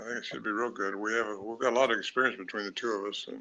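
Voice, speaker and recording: A man with a bright, sharp tone speaks at a fairly low pitch in a monotone, flat intonation. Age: 80s+. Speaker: cryptid researcher and author. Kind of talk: live podcast interview. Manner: halting, with many fillers.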